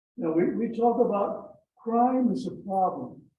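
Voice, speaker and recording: The voice has ordinary pitch variation, and audible room echo surrounds it. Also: man. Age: 90s. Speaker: club member. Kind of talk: casual speech at club meeting. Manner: halting.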